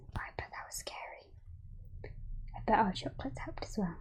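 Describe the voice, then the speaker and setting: The speaker is whispering. The pace is moderate. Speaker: ASMR roleplay performer playing a chocolate shop keeper. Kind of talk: ASMR roleplay, shop-keeper talk to the listener. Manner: soft-spoken, whispery.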